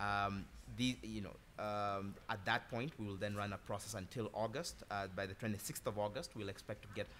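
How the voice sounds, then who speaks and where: Over light background noise, a man with an unremarkable speaking voice talks at a moderate pace, pitched fairly low with ordinary pitch variation. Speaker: consulting firm executive. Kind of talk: panel discussion. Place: hall.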